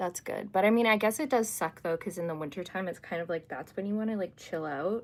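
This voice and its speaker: A woman with an American accent talks very fast at a medium pitch, hardly pausing, on a very clean recording with a silent background. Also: ordinary pitch variation. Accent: sounds American. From Canada. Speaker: livestreamer, astrology content creator. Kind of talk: casual livestream chat reading comments. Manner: chatty, filler-heavy with frequent 'like'.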